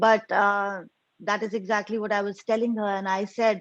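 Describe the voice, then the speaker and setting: Over a quiet background, a woman speaks with an Indian accent. Her pace is moderate and her intonation monotone and flat. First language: Hindi. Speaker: convert sharing testimony. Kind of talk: testimony.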